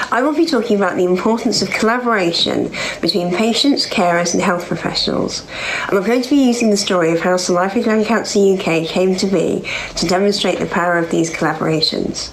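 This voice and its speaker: A woman in a London accent at a very fast pace and very even loudness, with audible room echo and noticeable background noise. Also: medium pitch for a woman, ordinary pitch variation. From London, England. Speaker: cancer survivor and charity founder. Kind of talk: conference talk.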